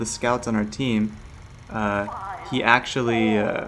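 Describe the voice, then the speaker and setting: A man's voice with noticeable background noise. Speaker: gaming commentator. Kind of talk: gameplay commentary. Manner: fast; hesitant, many fillers.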